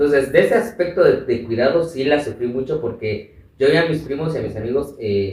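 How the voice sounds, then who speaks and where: At a moderate pace, a man talks with a somewhat breathy quality. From Mexico, Chiapas and Mexico City. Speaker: activist and radio presenter. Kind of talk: interview, life story.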